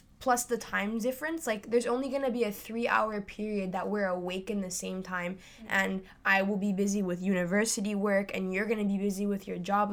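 This is a plain, everyday voice. It moves at a fairly quick pace with fairly even intonation. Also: woman. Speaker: university student. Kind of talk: casual chat.

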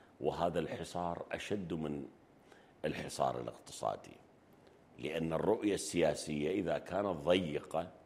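A very deep, low-pitched man's voice with vocal fry, ordinary pitch variation and a fairly slow pace. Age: 60s. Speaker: economist and banker. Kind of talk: interview. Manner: halting.

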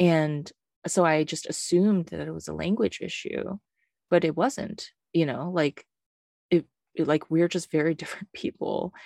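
Recorded very cleanly against a silent background, with a dry, close sound and no echo, a woman speaks at a moderate pace in a dark, mellow tone, her fairly low pitch showing ordinary variation, her loudness swinging widely, and her speech broken by long, frequent pauses. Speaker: podcast co-host and teacher. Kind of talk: casual chat about poetry.

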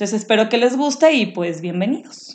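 Fairly high pitch from a woman with a plain, everyday voice, ordinary pitch variation, and a moderate pace. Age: 30s. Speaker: podcast co-host. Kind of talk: casual chat.

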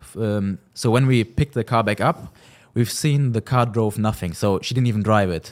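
A man speaks with a German accent at a medium pitch and moderate pace, with ordinary pitch variation and a dry, close sound that has no echo. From Germany, Cologne. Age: 20s. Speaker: car rental business owner. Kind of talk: interview.

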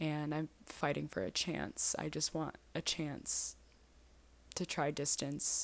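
A woman's very deep, low voice with vocal fry, very even loudness, ordinary pitch variation and a very slow pace, in a very clean recording with a silent background. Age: 20s. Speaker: personal podcaster. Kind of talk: personal monologue. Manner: frequent laughing.

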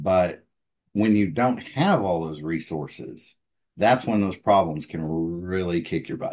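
This man has a very deep, low pitch and an American accent. He speaks at a fairly slow pace with ordinary pitch variation. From Texas. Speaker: oil and gas veteran. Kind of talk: interview.

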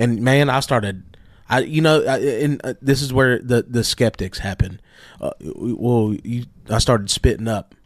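Recorded very cleanly against a silent background, a man with a normal speaking voice talks fairly slowly at medium pitch with ordinary pitch variation. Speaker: pastor and podcast co-host. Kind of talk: casual religious discussion.

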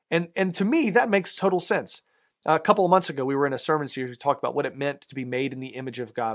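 A man talks at a very fast pace with an American accent and lively intonation. The recording is very clean, with a silent background. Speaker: pastor. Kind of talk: sermon. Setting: church. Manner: conversational, with fillers.

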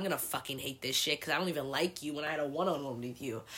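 Bright and sharp in tone, a woman speaks animatedly in an American accent. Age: 20s. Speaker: solo podcast host. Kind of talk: casual monologue.

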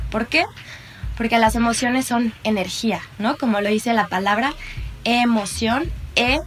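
A woman talks at a fairly slow pace with ordinary pitch variation. Music plays in the background. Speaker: psychologist and mindfulness teacher. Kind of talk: interview and guided meditation. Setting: remote recording. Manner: soft-spoken.

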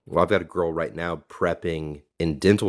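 On a very clean recording with a silent background, a man speaks at a fairly slow pace in a very deep, low pitch with vocal fry. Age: 20s. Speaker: bodybuilding coach and podcast host. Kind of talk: casual chat.

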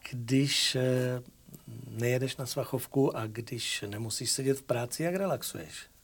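A man speaks at a fairly slow pace in a medium pitch with ordinary pitch variation and a somewhat breathy quality. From Moravia, Czechia. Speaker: talk show host. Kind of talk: casual interview.

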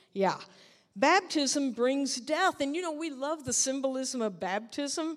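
Her voice is high for a woman, and its pitch moves in an ordinary way. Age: 60s. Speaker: preacher. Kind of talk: sermon. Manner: animated.

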